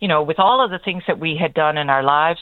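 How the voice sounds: A woman speaks at a fast pace. Her voice is low-pitched. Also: ordinary pitch variation.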